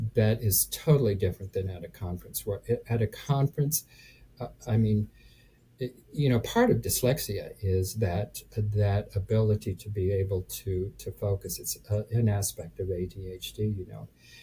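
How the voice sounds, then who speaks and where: Speaking at a moderate pace, a man has a fairly low pitch and a dark, mellow tone. His voice is somewhat breathy, with ordinary pitch variation. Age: 70s. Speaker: real estate investor. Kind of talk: interview answer. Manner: hesitant, halting.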